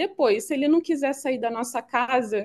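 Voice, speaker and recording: Lively intonation at a moderate pace. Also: woman. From Rio de Janeiro, Brazil. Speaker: venture capital CEO. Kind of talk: podcast interview answer. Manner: light, relaxed.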